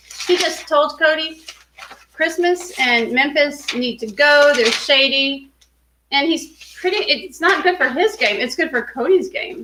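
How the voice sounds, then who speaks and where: A woman with an American accent speaks in a raised, projected voice at a high pitch, her intonation lively. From Texas. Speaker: TV show discussion podcaster. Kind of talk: casual chat.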